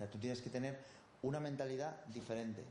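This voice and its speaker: Amid noticeable background noise and audible room echo, a man speaks at a fairly quick pace with ordinary pitch variation. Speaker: bodybuilding coach. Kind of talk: interview.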